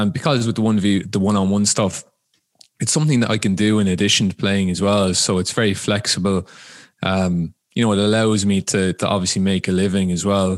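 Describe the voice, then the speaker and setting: A fairly low-pitched man with an Irish accent, fairly even intonation and a fairly quick pace. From Ireland. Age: 20s. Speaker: football coach and player. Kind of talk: casual interview chat.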